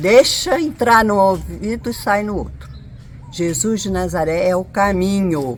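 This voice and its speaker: A woman speaks at a fairly slow pace. Noticeable background noise and audible room echo surround her. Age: 70s. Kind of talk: interview testimony.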